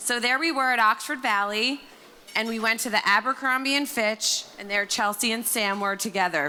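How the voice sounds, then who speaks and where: A woman with an American accent speaks loudly at a moderate pace, her fairly high voice bright and sharp in tone, with ordinary pitch variation. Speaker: maid of honor. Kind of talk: wedding toast. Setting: wedding reception with microphone.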